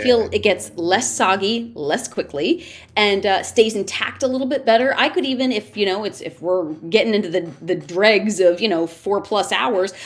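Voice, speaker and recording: Lively intonation and a moderate pace in an ordinary speaking voice. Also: woman, medium pitch for a woman. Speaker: wrestling commentator and ring announcer. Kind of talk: interview answer. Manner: chatty, playful.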